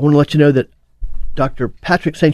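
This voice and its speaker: A man speaks fairly quickly at a fairly high pitch, in a normal speaking voice. The sound is dry and close with no echo, and the background is quiet. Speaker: radio host. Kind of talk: talk radio interview.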